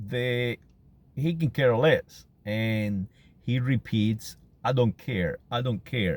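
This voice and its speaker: Speaking with a Canary Islands accent, a man uses a medium pitch. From Canary Islands, Spain. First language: Spanish. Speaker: vlogger. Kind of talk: casual monologue. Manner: halting, many fillers and repetitions.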